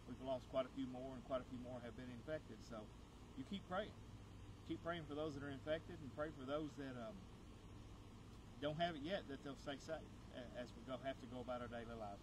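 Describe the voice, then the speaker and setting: Vocal fry colors a man's fairly quick speech, set against noticeable background noise. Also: ordinary pitch variation. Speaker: pastor. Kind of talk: sermon. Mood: warm, encouraging. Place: garden.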